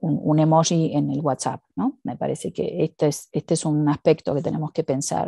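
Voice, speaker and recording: Against a quiet background, a woman speaks at a fairly slow pace in a dark, mellow tone, the sound dry with no echo. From Argentina. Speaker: education researcher and professor; guest. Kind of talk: interview conversation. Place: home room.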